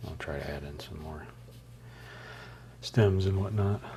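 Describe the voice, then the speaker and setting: A man's very deep, low voice at a moderate pace with ordinary pitch variation, over noticeable background noise. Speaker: artist streamer. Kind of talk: casual live stream chat while painting. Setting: live stream. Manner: relaxed, casual.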